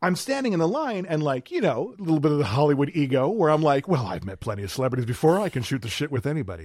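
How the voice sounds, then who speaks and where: A man with an American accent speaks in an animated tone at a fairly high pitch. The recording is very clean, with a silent background. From Wisconsin, South Milwaukee. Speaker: podcast host. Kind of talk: casual chat. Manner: animated storytelling.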